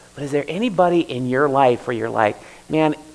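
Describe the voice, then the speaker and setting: A man with an American accent talks at a fairly quick pace in a fairly high voice. Noticeable background noise runs behind him. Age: 40s. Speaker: pastor. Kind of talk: sermon. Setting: church. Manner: halting.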